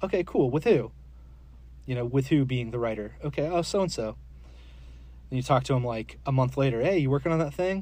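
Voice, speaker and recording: A man with an American accent speaks at a fairly quick pace in a dark, mellow, somewhat breathy tone, with medium pitch, ordinary pitch variation and long, frequent pauses. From US Southeast (Florida, Georgia). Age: 40s. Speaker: comic book illustrator. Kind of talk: casual interview.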